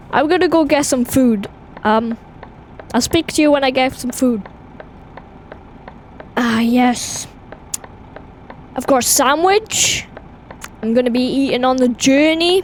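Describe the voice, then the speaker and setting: A woman with a Welsh accent speaks at a high pitch and a fairly slow pace, with ordinary pitch variation. She leaves long, frequent pauses, and there is noticeable background noise. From Wales. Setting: on a road trip at a fuel station.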